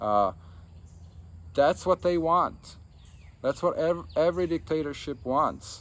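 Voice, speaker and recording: The speaker goes at a very slow pace with lively intonation and long, frequent pauses. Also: man, fairly high pitch for a man. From Czechoslovakia. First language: Czech or Slovak. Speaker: political commentator. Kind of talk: political monologue. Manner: halting.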